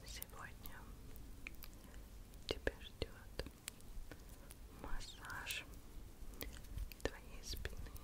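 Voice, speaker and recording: Very slow delivery with long, frequent pauses. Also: woman. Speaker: ASMR creator. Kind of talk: ASMR massage roleplay. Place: home room. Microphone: studio mic.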